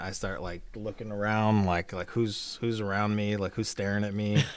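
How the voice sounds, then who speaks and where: A man speaks with a Texas accent in a fairly low pitch. The recording is very clean, with a silent background. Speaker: podcast co-host. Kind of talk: casual chat. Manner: halting, repetitive stammering.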